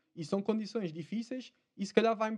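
A man's high-pitched voice with a European Portuguese accent. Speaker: spearfisherman. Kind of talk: casual chat.

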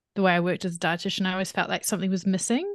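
A woman's medium-pitched voice with a New Zealand accent. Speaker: dietitian. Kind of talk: interview conversation.

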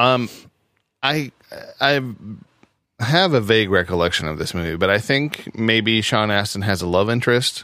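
A man with a medium-pitched voice speaks in a bright, sharp tone with lively intonation, stopping often for long pauses. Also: moderate pace, very clean recording, silent background. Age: 30s. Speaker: comedian. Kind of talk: casual chat.

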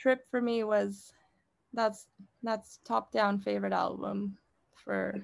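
With an American accent, a woman speaks very slowly, leaving long, frequent pauses. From Mexico and California (Stockton). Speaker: podcast co-host. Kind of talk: casual chat.

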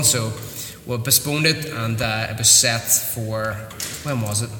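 Flat, monotone male speech at a medium pitch in a Northern Irish accent, with audible room echo and noticeable background noise. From Northern Ireland, Newtownards (County Down). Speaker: mixed martial arts fighter and coach. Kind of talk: casual interview. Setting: martial arts academy.

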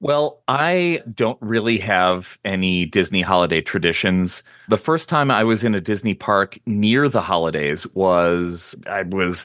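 An unremarkable speaking voice at a fairly slow pace with lively intonation, dry and close with no echo, over a quiet background. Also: man. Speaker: podcast co-host. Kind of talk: casual chat. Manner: jokey.

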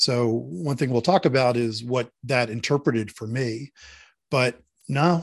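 A plain, everyday voice from a man with an American accent, medium pitch and ordinary pitch variation, against a quiet background. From Philadelphia. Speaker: author. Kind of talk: interview.

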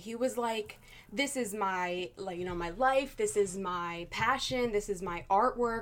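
A woman in an ordinary speaking voice at a fairly slow pace, with ordinary pitch variation. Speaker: host's girlfriend. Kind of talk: casual chat. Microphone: far from the mic.

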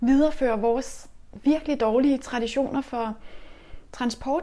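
Noticeable noise sits behind a voice whose pitch rises and falls in an ordinary way. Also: woman. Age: 40s. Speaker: urban gardener. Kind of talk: interview. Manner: halting.

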